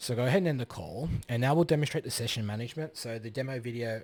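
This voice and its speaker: A man talking at a very fast pace with ordinary pitch variation, on a very clean recording with a silent background. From Australia. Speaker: software developer. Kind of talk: tutorial; casual chat. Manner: halting.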